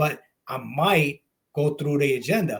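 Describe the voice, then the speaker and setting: A man speaks with a non-native accent. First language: not English. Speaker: retired police officer, military veteran. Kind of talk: casual political talk show.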